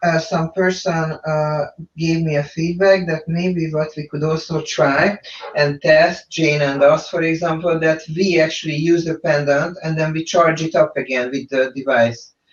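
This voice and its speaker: This man has a fairly high pitch, a non-native accent and fairly even intonation. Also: moderate pace. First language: not English. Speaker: quantum therapy practitioner. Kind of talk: webinar discussion.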